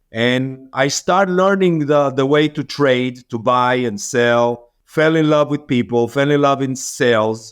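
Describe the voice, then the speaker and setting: A man with an Israeli accent speaks at a fairly slow pace with ordinary pitch variation. He leaves hardly any pauses. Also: medium pitch for a man. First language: Hebrew. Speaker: business owner. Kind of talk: interview.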